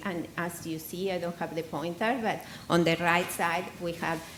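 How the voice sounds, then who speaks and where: The room has an audible echo. A woman speaks in a fairly low voice. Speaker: hematologist. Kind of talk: conference presentation.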